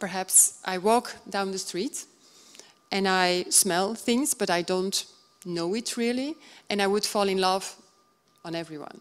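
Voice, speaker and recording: Medium pitch from a woman, with ordinary variation in pitch. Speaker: color consultant and speaker. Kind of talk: conference lecture. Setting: stage with audience. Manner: halting, with frequent fillers.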